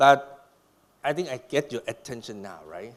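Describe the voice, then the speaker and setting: A man with vocal fry and a fairly high pitch at a moderate pace. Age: 60s. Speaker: doctor giving a conference talk. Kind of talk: lecture. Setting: stage with audience. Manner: animated.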